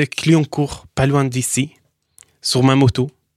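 A man with a medium pitch is recorded very cleanly over a silent background, with a dry, close sound and no echo. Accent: Syrian. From Syria, Daraya near Damascus. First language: Arabic (speaking French). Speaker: entrepreneur in metal recycling. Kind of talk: interview. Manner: halting.

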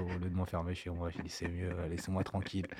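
A man with a very deep, low, somewhat breathy voice talks at a fairly quick pace in a very clean recording with a silent background. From grew up abroad, 'au bled'. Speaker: music producer. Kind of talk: casual interview chat.

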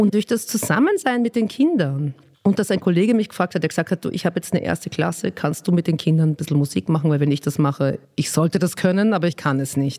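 At a very fast pace, a woman speaks in a fairly low pitch with a dark, mellow tone, lively intonation and very even loudness, the sound dry and close with no echo. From Austria. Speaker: children's songwriter and singer. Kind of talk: interview. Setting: office. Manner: animated.

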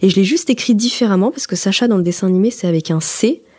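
Somewhat breathy, a woman speaks at a moderate pace and medium pitch with lively intonation. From France, Haute-Savoie. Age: 20s. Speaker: journalism student. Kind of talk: personal testimony. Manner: conversational, with hesitations.

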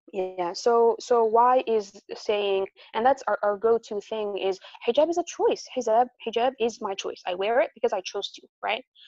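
A woman with an American accent speaks at a moderate pace in a plain, everyday voice, fairly high in pitch with ordinary variation. Her loudness swings widely. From US, New Jersey. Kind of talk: interview.

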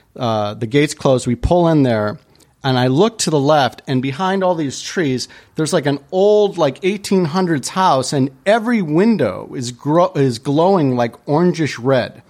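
In an American accent, a man with an ordinary speaking voice talks at a fairly slow pace, his pitch fairly high and his intonation lively. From US Midwest, Chicago area. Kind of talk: casual chat.

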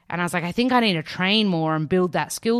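In an Australian accent, a woman speaks with a fairly low pitch. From Australia, Melbourne. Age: 30s. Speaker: nutritionist and author. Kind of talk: interview. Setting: remote recording during lockdown. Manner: animated.

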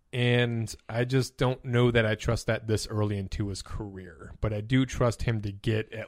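In an American accent, a man with a normal speaking voice and a fairly low pitch talks at a moderate pace with fairly even intonation. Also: very clean recording, silent background. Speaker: fantasy football podcast host. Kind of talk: casual chat about fantasy football.

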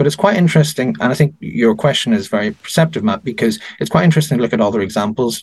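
Racing at a very fast pace, a man's voice makes very wide pitch swings. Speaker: politician or peer commenting on AI and elections. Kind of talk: interview discussion.

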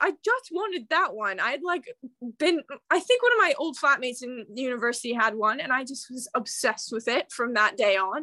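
Projecting a raised voice at a high pitch, a woman with an American accent speaks at a fairly quick pace in a dry, close sound with no echo. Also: lively intonation. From Kansas City, US Midwest. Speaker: bookstagrammer guest. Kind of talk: casual chat, interview. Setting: remote recording, Sunday night, London.

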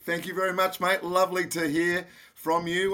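A man with a bright, sharp tone and an Australian accent, on a very clean recording with a silent background. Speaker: radio host and foundation founder. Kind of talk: podcast interview.

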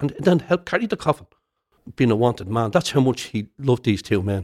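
A man speaks with a Dublin accent at a medium pitch. His intonation is lively and his pace fairly quick. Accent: Dublin Irish. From Dublin inner city, Ireland. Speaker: retired soldier and historian. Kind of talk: interview.

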